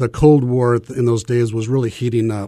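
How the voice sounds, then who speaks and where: Over a quiet background, a man of medium pitch talks at a moderate pace in a dark, mellow tone, with a Midwestern American accent. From US Midwest, small-town Nebraska. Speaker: missionary. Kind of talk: testimony. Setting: studio.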